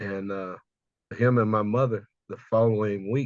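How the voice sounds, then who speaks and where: A man with an American accent speaks in an ordinary speaking voice at a moderate pace. His pitch is medium and his intonation fairly even. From US South, Houston, Texas. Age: 60s. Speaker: cultural memory specialist. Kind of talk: interview conversation, personal storytelling.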